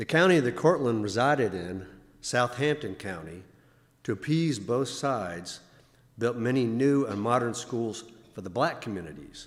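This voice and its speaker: Audible room echo surrounds a man who speaks at medium pitch with lively intonation. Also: moderate pace. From Virginia. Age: 60s. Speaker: church member speaker. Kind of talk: talk at a Sunday service. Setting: church. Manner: formal.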